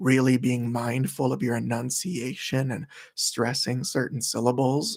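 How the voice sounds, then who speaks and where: Soft-spoken and at a fairly slow pace, a man talks with a medium pitch. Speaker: ASMR livestreamer. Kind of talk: casual livestream chat.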